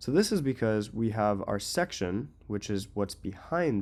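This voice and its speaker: A man with an unremarkable speaking voice talks at a moderate pace and fairly low pitch with ordinary pitch variation. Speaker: web design tutorial creator. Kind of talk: tutorial. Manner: casual, filler-heavy.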